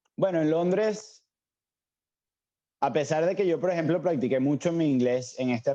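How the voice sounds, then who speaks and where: Ordinary pitch variation shapes this man's dark, mellow tone. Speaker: cook. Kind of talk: casual chat.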